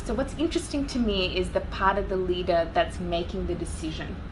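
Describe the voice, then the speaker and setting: Noticeable background noise and audible room echo around a woman speaking at a moderate pace with hardly any pauses. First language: not English. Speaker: business and leadership coach. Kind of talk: interview.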